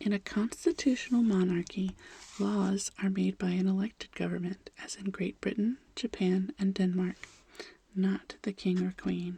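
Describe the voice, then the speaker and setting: A soft-spoken woman whispering at a moderate pace. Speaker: ASMR creator. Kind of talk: fact reading, gentle narration with chatty asides. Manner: soft-spoken, transitioning toward a whisper.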